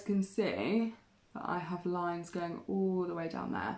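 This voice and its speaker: A woman talks with a British accent. Her pitch sits in the middle range. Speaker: art teacher. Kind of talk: live online art tutorial. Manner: casual, hesitant with many ums.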